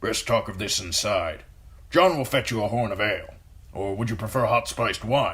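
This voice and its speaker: Using a put-on character voice, a man speaks at a moderate pace in a raspy, medium-pitched tone. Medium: read story.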